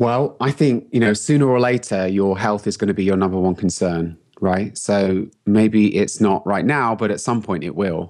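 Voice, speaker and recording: The speaker uses a London accent at a moderate pace with hardly any pauses. Pitch variation is ordinary, and the background is quiet. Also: man, fairly low pitch for a man. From London, England. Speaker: health coach and entrepreneur. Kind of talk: interview. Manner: casual, laughs often.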